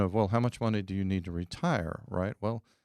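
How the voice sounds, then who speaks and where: At a moderate pace, a man talks fairly low with ordinary pitch variation, in a very clean, silent-background recording that is dry and close with no echo. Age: 50s. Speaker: real estate investor. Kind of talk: podcast interview. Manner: animated.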